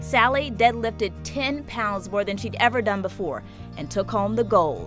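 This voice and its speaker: A woman speaking at a moderate pace, with music in the background. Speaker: news reporter. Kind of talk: TV news feature narration.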